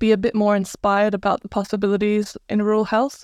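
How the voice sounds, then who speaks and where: A woman speaks at a moderate pace in a medium pitch, in a very clean recording with a silent background and a dry, close sound with no echo. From Croatia. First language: Croatian. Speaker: rural doctor. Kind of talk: interview.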